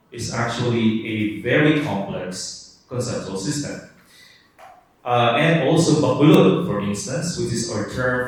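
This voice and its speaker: Amid noticeable background noise and audible room echo, a man with a Palawan accent speaks at medium pitch with lively intonation. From Philippines, Cuyo Islands, Palawan. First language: Cuyonon. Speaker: linguistics professor. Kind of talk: lecture.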